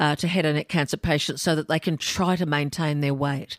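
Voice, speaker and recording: A woman with an Australian accent speaks in a very deep, low pitch, in a very clean recording with a silent background and a dry, close sound with no echo. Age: 60s. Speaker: podcast host, former cancer patient. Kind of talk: interview.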